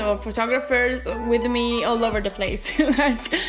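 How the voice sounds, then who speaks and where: Music plays in the background and the room echo is audible as a woman with a high pitch speaks with ordinary pitch variation. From Italy. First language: Italian. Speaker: vlogger. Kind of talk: casual vlog talk to camera. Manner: animated, uses hands; hesitant with fillers.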